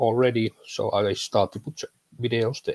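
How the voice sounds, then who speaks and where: With a Finnish accent, a man speaks at a moderate pace in a medium pitch, the sound dry and close with no echo. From Finland. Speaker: tech content creator. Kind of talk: interview. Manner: halting.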